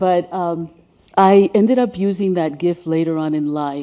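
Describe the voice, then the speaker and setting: The woman's pitch varies in an ordinary way as she talks at a moderate speed. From Caribbean, then New York City from age ten. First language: Spanish. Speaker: race healing educator and speaker. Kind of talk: presentation with slides. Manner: conversational with fillers.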